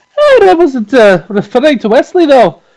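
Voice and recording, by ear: This is a put-on character voice with a slightly mellow tone. Its pitch swings very wide. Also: fairly slow pace.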